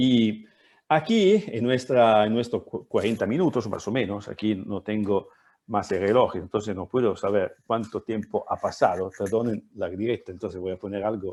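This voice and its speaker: Against a quiet background, a man with an Italian accent and a fairly low pitch speaks at a moderate pace with fairly even intonation, in a dry, close sound with no echo. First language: Italian (speaking Spanish). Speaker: professor. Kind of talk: lecture. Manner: halting.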